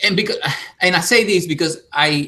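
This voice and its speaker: A man speaks with a Spanish accent. His tone is bright and sharp, with ordinary pitch variation. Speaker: YouTuber. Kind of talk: casual chat. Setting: live stream.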